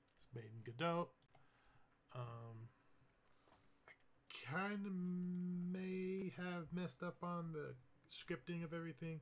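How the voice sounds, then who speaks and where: Mumbling and somewhat breathy, a man speaks very slowly. His intonation is lively. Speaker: indie game developer. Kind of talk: dev diary gameplay commentary. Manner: casual, hesitant with fillers.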